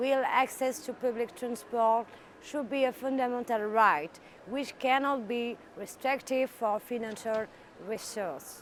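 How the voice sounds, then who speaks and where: A woman speaks with a French accent at a high pitch. Her pace is fairly slow. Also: ordinary pitch variation. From France. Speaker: politician. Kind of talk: recorded interview answers. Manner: halting.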